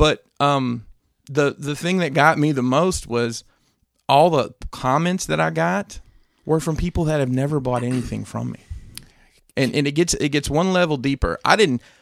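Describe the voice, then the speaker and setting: At a moderate pace and with ordinary pitch variation, a man talks in an unremarkable speaking voice. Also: fairly high pitch for a man. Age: 40s. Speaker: toy collector podcast co-host. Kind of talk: casual chat.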